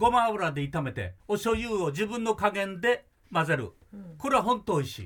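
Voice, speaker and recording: A man's high-pitched voice with lively intonation, big swings in loudness, and a moderate pace. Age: 80s+. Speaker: music producer. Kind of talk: casual chat. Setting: studio. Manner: animated.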